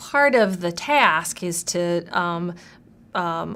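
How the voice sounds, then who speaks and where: A woman speaks with a bright, sharp tone. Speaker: university writing instructor. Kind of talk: interview answer.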